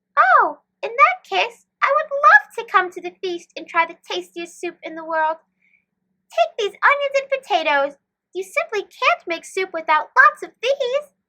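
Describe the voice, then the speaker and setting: A woman puts on a squeaky character voice at an extremely high pitch, with very wide pitch swings. She keeps a moderate pace while her loudness swings widely. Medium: read story.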